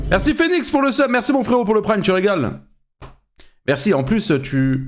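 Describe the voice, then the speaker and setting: This man's voice sits high for a man and swings very widely in pitch. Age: 20s. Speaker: streamer reacting to videos. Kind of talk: live stream reaction commentary. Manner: animated.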